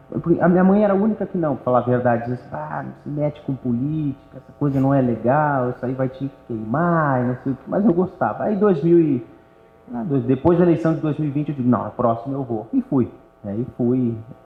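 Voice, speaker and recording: At a fairly quick pace, a man with a plain, everyday voice talks in a fairly high pitch with ordinary pitch variation. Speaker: local politician. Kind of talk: interview conversation. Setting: auditorium with live audience.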